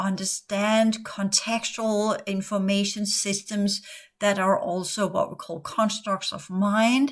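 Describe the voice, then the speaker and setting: The speaker talks at a fairly slow pace in a Danish accent. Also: woman. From Denmark. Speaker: spiritual teacher and former psychotherapist. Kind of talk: podcast monologue. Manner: halting.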